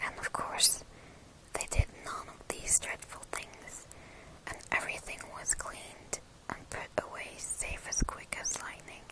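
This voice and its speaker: Noticeable background noise fills the clip. Through it, a woman whispers. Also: fairly slow pace, big swings in loudness. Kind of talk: ASMR book reading, bedtime story. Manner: soft, intimate, close to the mic.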